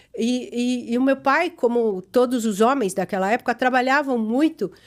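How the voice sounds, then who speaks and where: Pitch varies in an ordinary way at a moderate pace. The background is silent on this very clean recording. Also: woman, high pitch for a woman. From Chile. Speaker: gynecologist and podcast host. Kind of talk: casual family interview.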